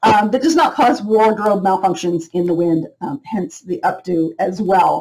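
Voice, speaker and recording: A woman speaks at a moderate pace in a somewhat breathy voice. The background is quiet. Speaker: beauty product seller. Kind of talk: casual product review chat. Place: home room. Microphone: webcam.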